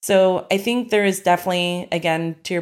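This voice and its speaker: On a very clean recording with a silent background, a woman with an American accent speaks in a fairly low pitch, monotone and flat, at a moderate pace. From Arkansas, US (Ozarks). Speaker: restaurant owner. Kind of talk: interview.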